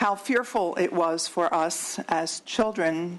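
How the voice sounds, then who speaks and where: A woman's fairly low voice with ordinary pitch variation against a quiet background. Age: 60s. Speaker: state senator. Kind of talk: committee hearing remarks. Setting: legislative hearing room. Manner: halting.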